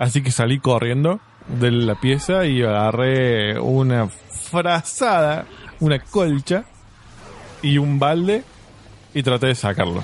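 A man at a very slow pace, with long, frequent pauses, very even loudness and lively intonation. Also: medium pitch for a man. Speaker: podcast co-host. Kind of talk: casual chat.

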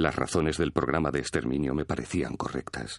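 A man's voice with vocal fry at a moderate pace. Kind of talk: voiced reading of a perpetrator's postwar written account.

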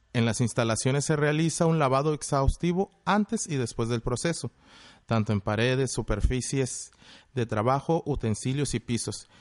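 A man with an ordinary speaking voice talks at a medium pitch and moderate pace, with ordinary pitch variation. The sound is dry and close with no echo, against a quiet background. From Mexico, Monterrey, Nuevo León. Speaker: chef. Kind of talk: explanatory talk, partly read. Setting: video call.

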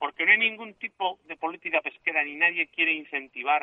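This voice belongs to a man. Its pitch moves by an ordinary amount. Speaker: fisherman. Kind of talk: interview. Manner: halting.

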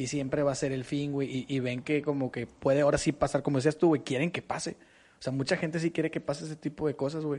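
Against a quiet background, a man with a fairly high pitch speaks very fast in a monotone, flat intonation. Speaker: podcast co-host. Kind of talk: casual chat.

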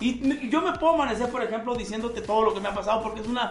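Against noticeable background noise and audible room echo, a man speaks at an extremely high pitch. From Sonora, Mexico. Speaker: regional Mexican singer. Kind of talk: casual interview chat.

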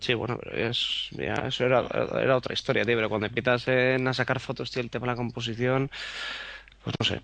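There is noticeable background noise. Over it, a man speaks very fast at a medium pitch. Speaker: photographer. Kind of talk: casual chat. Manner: animated.

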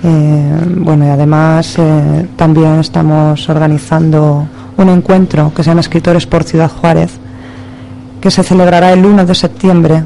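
Against noticeable background noise, a woman with a very deep, low pitch speaks at a fairly slow pace in a monotone, flat intonation, her loudness very even and her speech marked by long, frequent pauses. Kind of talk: poetry reading, intense.

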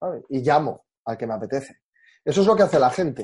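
Pitch swings very widely in a dark, mellow tone at a fairly quick pace. The background is quiet. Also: man. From Galicia, Spain (Orense). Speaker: hosting company country manager. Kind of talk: interview.

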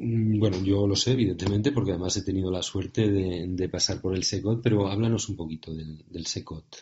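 A man speaks at a fairly quick pace with hardly any pauses. His voice is somewhat breathy, and his intonation fairly even. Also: fairly low pitch for a man. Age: 40s. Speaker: podcast host, entrepreneur. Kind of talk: interview.

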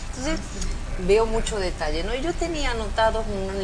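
A woman's moderately paced speech amid noticeable background noise and audible room echo. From Argentina, Tucumán. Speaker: writer and retired university professor. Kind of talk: radio interview.

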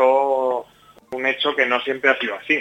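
A man with a medium pitch speaks against noticeable background noise. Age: 30s. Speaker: mayor and regional politician. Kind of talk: radio interview.

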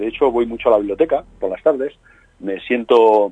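A man's voice, dry and close with no echo, moving at a moderate pace. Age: 50s. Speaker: crime novelist. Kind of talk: interview.

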